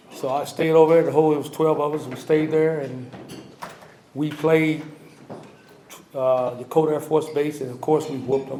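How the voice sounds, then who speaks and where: Fairly high-pitched male speech in a monotone, flat intonation, at a moderate pace with long, frequent pauses, plus audible room echo and noticeable background noise. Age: 70s. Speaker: navy veteran, hall of fame inductee. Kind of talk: acceptance speech. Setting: ceremony with audience. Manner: halting.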